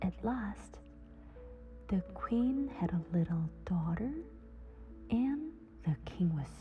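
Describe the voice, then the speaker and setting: A soothing tone carries over music in the background. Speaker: simultaneous interpreter reading English fairy tales. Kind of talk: sleep story, bedtime fairy tale reading. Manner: slow, soothing.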